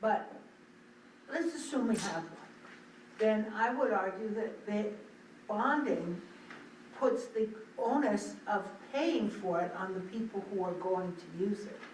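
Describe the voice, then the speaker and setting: A woman talks at a fairly slow pace with ordinary pitch variation and long, frequent pauses. Noticeable background noise and audible room echo fill the recording. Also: fairly high pitch for a woman. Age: 70s. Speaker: select board member. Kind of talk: public meeting discussion.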